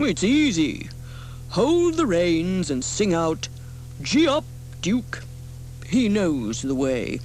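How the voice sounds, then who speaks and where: A woman uses a put-on character voice, speaking at a very slow pace over clear background noise. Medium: read story.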